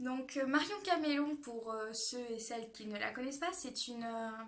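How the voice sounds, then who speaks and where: There is audible room echo around a woman's high-pitched voice. She talks at a fairly slow pace with ordinary pitch variation. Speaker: beauty youtuber. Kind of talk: casual vlog talk. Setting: at home. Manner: hesitant, many fillers; speaks louder than usual.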